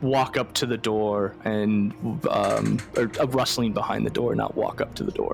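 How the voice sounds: Faint music plays behind a man whose voice carries vocal fry.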